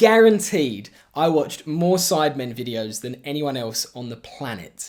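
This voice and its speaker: With an English accent, a man speaks at a fairly high pitch with lively intonation. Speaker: YouTuber and video editor. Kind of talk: casual vlog narration.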